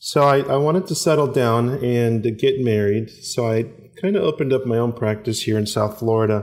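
A plain, everyday voice speaks at a moderate pace with ordinary pitch variation. Its loudness stays very even. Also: man, medium pitch for a man. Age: 40s. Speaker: former podiatrist turned coffee and cigar entrepreneur. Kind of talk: interview.

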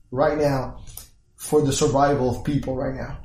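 A man's voice comes through with audible room echo. It is somewhat breathy and fairly high in pitch. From Puerto Rico. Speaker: engineer turned crypto entrepreneur. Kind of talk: interview.

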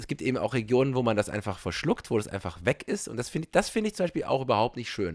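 At a very fast pace, a man speaks with very wide pitch swings. The sound is dry and close, with no echo. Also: medium pitch for a man, hardly any pauses. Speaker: podcast host, stage actor. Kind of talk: casual chat.

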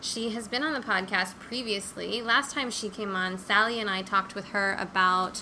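A woman has a plain, everyday voice at medium pitch. She keeps a moderate pace and fairly even intonation. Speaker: podcast host. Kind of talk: casual interview. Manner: warm, effusive.

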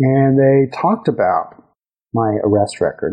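With a Texan accent, a man speaks in fairly even intonation. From West Texas. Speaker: judge and political candidate. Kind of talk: interview. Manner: frequent hesitations (uh).

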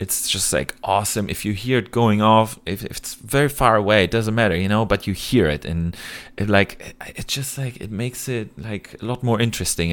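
A man with a German accent talks at a moderate pace and a fairly low pitch, with ordinary pitch variation. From Germany, Cologne area. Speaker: airsoft YouTuber and photography student. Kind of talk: podcast interview.

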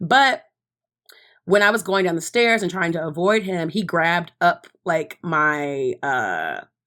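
A woman with an American accent, medium pitch and ordinary pitch variation, on a very clean recording with a silent background. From Texas, Dallas. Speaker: podcast guest, fashion worker. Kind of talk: casual chat. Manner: animated.

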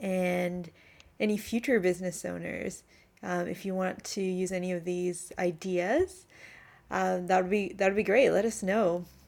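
Using an unremarkable speaking voice, a woman speaks at a fairly slow pace in a medium pitch with fairly even intonation. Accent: Canadian. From Canada. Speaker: podcast host. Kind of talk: casual interview chat.

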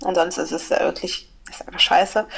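Medium pitch in a woman's speech. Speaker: podcast co-host. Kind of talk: casual chat. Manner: halting, many filler sounds.

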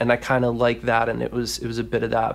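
Speaking with an American accent, a man is heard. His pace is very fast. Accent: smooth, almost accentless American English. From US Mid-Atlantic, Washington DC area. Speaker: web development teacher and author. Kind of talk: casual interview. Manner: enthusiastic.

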